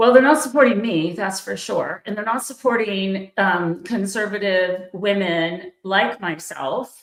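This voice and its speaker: A woman with a normal speaking voice talks at a fairly slow pace with hardly any pauses and ordinary pitch variation. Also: medium pitch for a woman. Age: 60s. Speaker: podcast host and political commentator. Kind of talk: livestream political commentary. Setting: online livestream.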